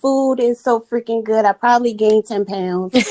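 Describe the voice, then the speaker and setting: Speaking with a Maryland accent, a woman uses a fairly high pitch, ordinary pitch variation and a moderate pace. The sound is dry and close, with no echo. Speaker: podcast guest. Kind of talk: casual chat.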